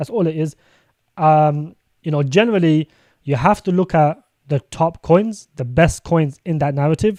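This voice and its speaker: A man with a British accent speaks with a fairly high pitch, ordinary pitch variation and a dark, mellow tone, on a very clean recording with a silent background and a dry, close sound with no echo. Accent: British accent, noticeable to viewers. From UK. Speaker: crypto streamer. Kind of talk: live stream commentary. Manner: fast; casual, filler-heavy.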